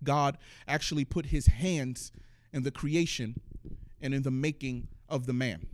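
The speaker uses a natural reading voice, and the pitch shifts by an ordinary amount.

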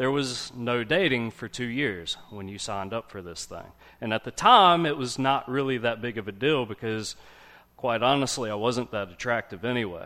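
A man's medium-pitched voice, bright and sharp in tone, with ordinary pitch variation, a moderate pace and big swings in loudness. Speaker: lay preacher. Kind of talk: sermon. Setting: church. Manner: quiet.

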